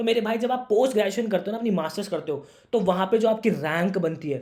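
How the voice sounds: A man speaks at a fairly quick pace with ordinary pitch variation and a slightly mellow tone.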